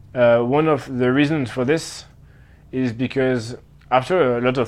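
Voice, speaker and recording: A man speaks with a slight French accent. His intonation is flat and monotone. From Switzerland. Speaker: traveler interviewed about his year. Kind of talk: interview answer. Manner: halting, many fillers.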